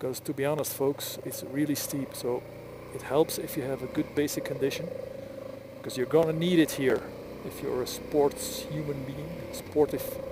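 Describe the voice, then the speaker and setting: A man speaks over noticeable background noise. His loudness swings widely. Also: moderate pace. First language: Flemish (Dutch). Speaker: motorcycle vlogger. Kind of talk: casual vlog monologue while riding. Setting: outdoors on a motorcycle. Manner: halting.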